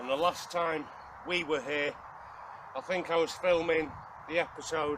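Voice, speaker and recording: This man has a Welsh accent and a fairly high pitch. There is noticeable background noise behind him. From Wales. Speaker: outdoor survival vlogger. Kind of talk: casual vlog talk to camera. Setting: outdoors in the woods.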